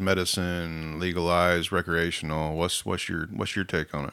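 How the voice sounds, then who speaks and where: A man with an American accent and a very deep, low pitch, talking at a moderate pace. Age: 50s. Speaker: podcast host. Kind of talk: casual chat. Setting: studio.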